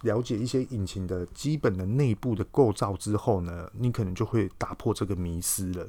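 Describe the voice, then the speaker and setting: A man with a Taiwanese accent, fairly low in pitch and fairly slow, with ordinary pitch variation on a very clean recording with a silent background. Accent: Taiwanese Mandarin. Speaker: podcast host. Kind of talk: casual explanatory monologue. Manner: hesitant, many filler words.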